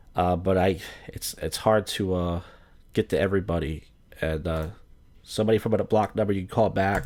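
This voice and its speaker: A man with an American accent and a very deep, low pitch talks at a fairly quick pace with fairly even intonation and long, frequent pauses. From South Jersey / Philadelphia area, US. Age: 30s. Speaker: live-stream host taking call-ins. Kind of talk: casual call-in live stream chat.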